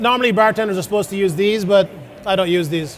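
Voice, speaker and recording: A man with an Irish accent speaks at a high pitch. Noticeable background noise is present. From Ireland. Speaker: chef. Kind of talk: cooking demonstration. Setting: stage with audience.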